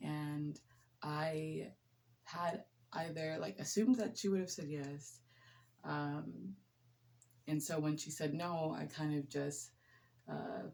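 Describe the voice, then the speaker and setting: A soft-spoken woman with a very deep, low pitch and a relaxed tone, at a very slow pace with long, frequent pauses. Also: ordinary pitch variation. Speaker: nurse. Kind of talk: casual chat.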